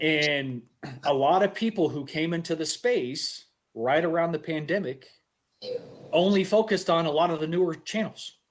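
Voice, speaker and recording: A man talks at a moderate pace with ordinary pitch variation. His voice sits at a high pitch. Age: 40s. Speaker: podcast host. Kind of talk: casual chat.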